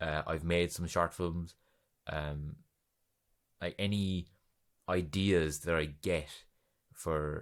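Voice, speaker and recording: A man speaks at a very slow pace with a very deep, low pitch and monotone, flat intonation. Long, frequent pauses mark a very clean recording with a silent background. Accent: Irish. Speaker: podcast host. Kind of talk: casual solo podcast monologue. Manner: chatty, rambling with fillers.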